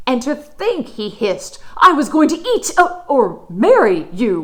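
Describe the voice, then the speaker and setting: Using a put-on character voice, a woman speaks fairly slowly at a high pitch with very wide pitch swings and hissing. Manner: hissing, livid.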